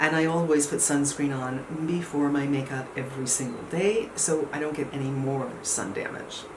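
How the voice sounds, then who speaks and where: A woman's very deep, low-pitched voice at a moderate pace, fairly even in intonation with hardly any pauses, amid noticeable background noise and audible room echo. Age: 60s. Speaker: beauty vlogger. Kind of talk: product review. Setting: home, no air conditioning. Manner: casual, conversational.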